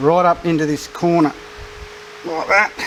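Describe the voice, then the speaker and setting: With an Australian accent and a high pitch, a man speaks at a fairly slow pace amid noticeable background noise. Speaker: car restoration YouTuber. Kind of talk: tutorial. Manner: loud.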